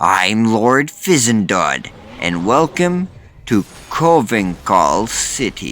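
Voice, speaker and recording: At a very slow pace, a man performs a put-on character voice at medium pitch. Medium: read story. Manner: polite, officious.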